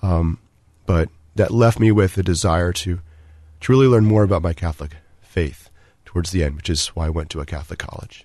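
A man speaks at a fairly quick pace in a very deep, low voice with a dark, mellow tone, ordinary pitch variation, and long, frequent pauses. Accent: American. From Maryland, Washington DC area. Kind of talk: interview about vocation story. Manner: halting, many fillers and repetitions.

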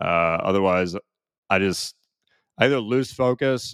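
On a very clean recording with a silent background and a dry, close sound with no echo, a man with a Midwestern US accent speaks at a very deep, low pitch. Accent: General American, Midwestern. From US Midwest, small-town Ohio. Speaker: copywriter and entrepreneur. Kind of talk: casual interview chat.

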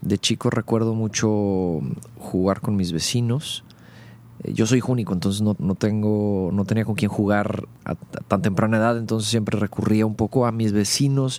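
An unremarkable speaking voice from a man, fairly low in pitch, at a moderate pace with fairly even intonation and very even loudness. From Monterrey, northern Mexico. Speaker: rock band vocalist. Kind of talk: casual interview.

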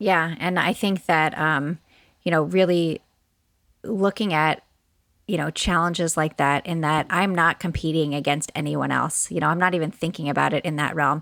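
On a very clean recording with a silent background and a dry, close sound with no echo, a woman with an ordinary speaking voice talks at a moderate pace, fairly low in pitch, with fairly even intonation. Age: 40s. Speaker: author and speaker. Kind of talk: casual chat.

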